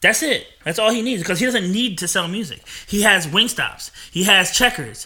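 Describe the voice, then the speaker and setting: With an American accent, a man projects a raised, high-pitched voice with a bright, sharp tone, moving at a moderate pace with ordinary pitch variation. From New Jersey. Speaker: podcast host. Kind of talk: casual chat.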